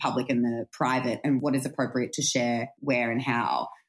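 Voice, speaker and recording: A moderately paced female voice in an Australian accent. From Australia, country town. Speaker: comedian and journalist. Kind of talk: casual chat. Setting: London.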